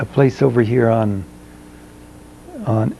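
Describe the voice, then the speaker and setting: A man with an American accent speaks at a very slow pace. His pitch is fairly low, and background noise is noticeable. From southeastern Colorado, rural farm. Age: 80s+. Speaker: oral history interviewee. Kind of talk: oral history interview. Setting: at his home. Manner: halting, many fillers.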